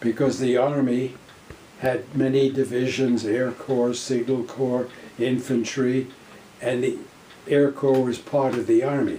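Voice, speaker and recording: With long, frequent pauses, a man of medium pitch talks at a fairly slow pace in a flat monotone, with noticeable background noise behind him. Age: 80s+. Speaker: war veteran. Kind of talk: personal war storytelling.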